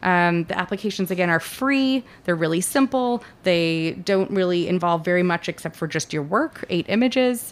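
An ordinary speaking voice with an American accent, lively intonation and a moderate pace with hardly any pauses. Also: woman, fairly low pitch for a woman. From Los Angeles. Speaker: arts nonprofit executive director. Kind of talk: casual interview. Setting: studio.

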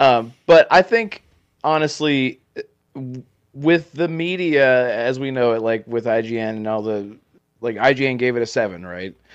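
Here is a plain, everyday voice from a man with a medium pitch. He uses lively intonation at a moderate pace. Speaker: gaming content creator, podcaster. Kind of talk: casual podcast chat.

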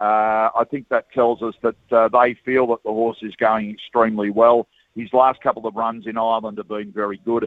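A man talks at a moderate pace in a monotone, flat intonation, with hardly any pauses. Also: medium pitch for a man. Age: 60s. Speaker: horse racing broadcaster. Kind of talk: radio interview. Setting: outdoors at racecourse.

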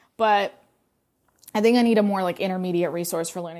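This woman talks at a fairly quick pace, her pitch medium with ordinary variation. The recording is very clean, with a silent background. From Russia, raised in North Carolina. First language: Russian. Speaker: podcast host, marketing creative. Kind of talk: casual solo monologue about personal life. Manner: candid, conversational, slightly hesitant.

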